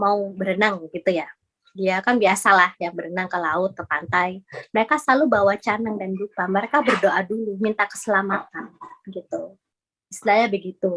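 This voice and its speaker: This woman's medium-pitched voice shows ordinary pitch variation and moves at a moderate pace. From Bali, Indonesia (Denpasar). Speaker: convert to Islam, housewife. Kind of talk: interview testimony. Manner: casual, halting with fillers.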